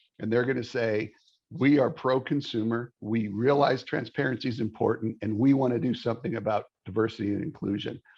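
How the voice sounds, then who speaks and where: A man's rather brisk delivery in a normal speaking voice, medium in pitch, with ordinary rise and fall. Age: 60s. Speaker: mortgage industry sales executive. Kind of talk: interview podcast conversation.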